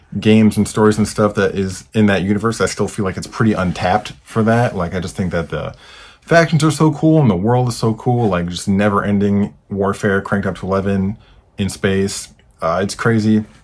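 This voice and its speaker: This man has a fairly low pitch. His pitch moves with ordinary variation. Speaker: gaming podcast host. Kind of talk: casual monologue. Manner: fast; hesitant with fillers.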